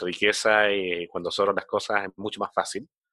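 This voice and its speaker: With a bright, sharp tone and a fairly low pitch, the man speaks at a moderate pace in a monotone, flat intonation, the sound dry and close with no echo. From Chile. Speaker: podcast host, marketing executive. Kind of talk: interview. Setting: at home, remote call.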